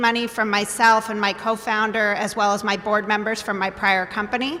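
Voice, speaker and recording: Amid noticeable background noise, a woman talks at a fairly high pitch in a monotone, flat intonation. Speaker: biotech company CEO. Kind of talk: panel discussion. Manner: loud.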